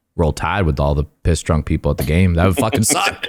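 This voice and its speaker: A man's very deep, low voice with an American accent and ordinary pitch variation. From US Northeast. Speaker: podcast host. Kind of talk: casual chat. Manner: animated.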